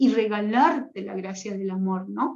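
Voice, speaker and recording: A woman talks in an animated tone. Her pitch variation is ordinary. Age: 60s. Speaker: religious sister, retreat leader. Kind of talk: spiritual teaching talk. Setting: online livestream. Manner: animated, conversational.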